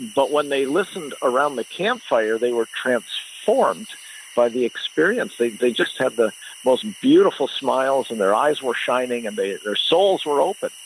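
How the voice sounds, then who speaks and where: With noticeable background noise behind him, a man with a Canadian accent speaks at a moderate pace. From Canada. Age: 60s. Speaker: storyteller. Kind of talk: interview.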